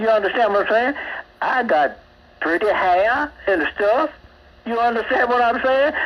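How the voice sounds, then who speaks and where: Over noticeable background noise, a man speaks in an extremely high voice with lively intonation and very even loudness. His pace is moderate, broken by long, frequent pauses. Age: 80s+. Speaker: caller. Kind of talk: call-in rant. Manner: animated; repetitive with fillers.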